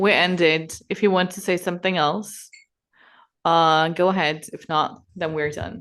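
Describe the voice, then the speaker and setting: The voice moves at a fairly slow pace with big swings in loudness over a quiet background. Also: woman, fairly low pitch for a woman, fairly even intonation. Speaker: podcast interviewer. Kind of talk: interview. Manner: hesitant.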